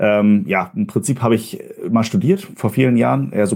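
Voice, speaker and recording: A man speaks with ordinary pitch variation. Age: 30s. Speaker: marketing agency head. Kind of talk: interview.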